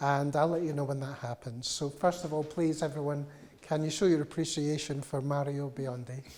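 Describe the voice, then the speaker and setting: A voice with a Glaswegian accent. The pace is moderate. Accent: Glaswegian Scottish. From Scotland, Glasgow. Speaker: music journalist and interviewer. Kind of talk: live public interview. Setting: cultural institute room with live audience. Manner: hesitant, many fillers.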